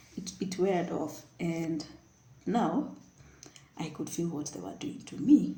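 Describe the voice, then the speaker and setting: Audible room echo surrounds a woman speaking at a fairly slow pace. Her loudness swings widely, and she pauses long and often. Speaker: vlogger. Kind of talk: personal storytelling. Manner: animated.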